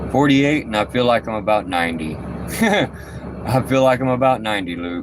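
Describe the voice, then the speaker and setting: Over noticeable background noise, a man at medium pitch speaks with lively intonation at a moderate pace and hardly any pauses. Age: 40s. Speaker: trucker and paranormal investigator. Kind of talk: casual live stream chat. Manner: halting.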